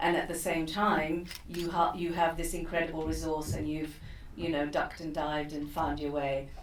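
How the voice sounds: Over audible room echo, a woman talks at a moderate pace in a low pitch, with little pitch movement.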